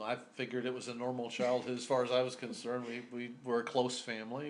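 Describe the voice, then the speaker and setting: The voice has an American accent and audible room echo. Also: man. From US Midwest and New Mexico. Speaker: oral history interviewee. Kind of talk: interview. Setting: in-person interview. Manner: halting, many fillers.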